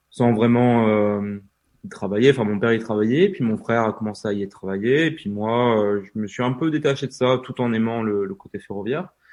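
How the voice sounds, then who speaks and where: Moderate pacing and ordinary pitch variation from a man with a medium-pitched voice. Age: 20s. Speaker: travel YouTuber and author. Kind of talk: interview. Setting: podcast recording. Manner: hesitant with many fillers.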